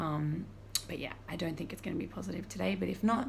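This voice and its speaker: A woman speaks in a space with audible room echo. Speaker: vlogger. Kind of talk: personal video diary. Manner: casual, filler-heavy; quiet.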